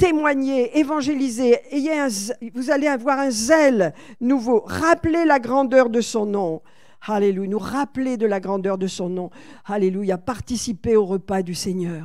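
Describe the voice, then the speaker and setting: Her intonation lively, a woman with a fairly high pitch speaks at a fairly slow pace. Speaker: pastor. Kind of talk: sermon. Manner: animated.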